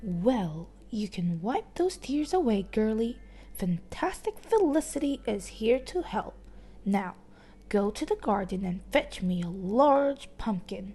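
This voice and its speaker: The woman's voice is fairly high and put on for a character. She speaks at a fairly slow pace. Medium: read story. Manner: airy, jolly, upper-class.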